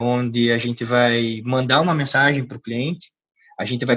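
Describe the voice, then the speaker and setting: A man speaks at a moderate pace in a medium pitch, his intonation fairly even. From Curitiba, Paraná, southern Brazil. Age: 20s. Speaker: CrossFit gym co-founder. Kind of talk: interview. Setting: call. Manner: hesitant, many filler repetitions.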